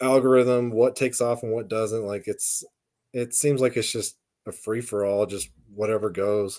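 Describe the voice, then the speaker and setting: A man with an American accent, a normal speaking voice, medium pitch, moderate pace and fairly even intonation. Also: very clean recording, silent background. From western US. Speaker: podcast co-host. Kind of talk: casual chat.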